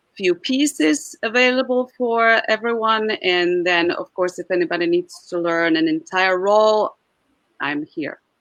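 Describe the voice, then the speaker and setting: With a Czech accent, a woman speaks at a fairly slow pace, her voice at medium pitch with lively intonation. The sound is dry and close with no echo, over a quiet background. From Czech Republic. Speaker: Czech diction coach. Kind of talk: interview. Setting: live stream.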